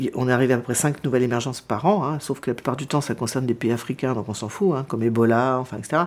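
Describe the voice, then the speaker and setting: Over noticeable background noise, the speaker races along at a very fast pace with hardly any pauses and ordinary pitch variation. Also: woman, very deep, low pitch for a woman. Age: 60s. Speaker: documentary filmmaker and journalist. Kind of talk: interview. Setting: her living room.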